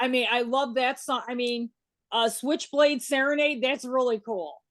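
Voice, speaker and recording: A woman with a Chicago accent, high in pitch, with ordinary pitch variation and a moderate pace. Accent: Chicago accent, still noticeable. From Chicago, US Midwest. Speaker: interview show host. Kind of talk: casual interview.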